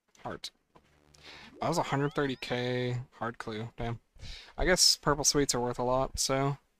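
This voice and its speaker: Using a relaxed tone, a man at medium pitch speaks very slowly with fairly even intonation and long, frequent pauses. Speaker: video game streamer. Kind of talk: casual live stream commentary while gaming. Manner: relaxed, casual with filler words.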